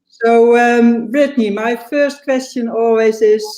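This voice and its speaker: Her voice is fairly high in pitch, and this woman's tone is dark and mellow. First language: not English. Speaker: interviewer, channel host. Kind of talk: interview. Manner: halting.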